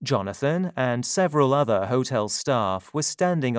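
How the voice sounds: A natural reading voice carries lively intonation.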